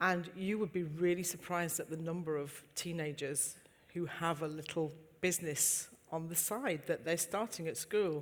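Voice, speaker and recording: A woman speaks with a Yorkshire accent at a moderate pace. Her pitch is fairly low and her intonation fairly even. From Yorkshire, England. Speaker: entrepreneur. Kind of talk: panel discussion.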